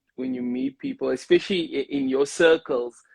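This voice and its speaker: In a Cape Town accent, a man speaks at a moderate pace with ordinary pitch variation, the sound dry and close with no echo. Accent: South African (Cape Town). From Cape Town, South Africa. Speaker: singer and radio host. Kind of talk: casual interview.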